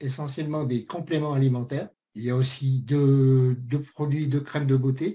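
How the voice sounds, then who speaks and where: Somewhat breathy and dark, mellow in tone, a man speaks at a fairly high pitch and a fairly slow pace. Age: 60s. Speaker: network marketing presenter. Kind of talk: sales pitch. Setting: webinar.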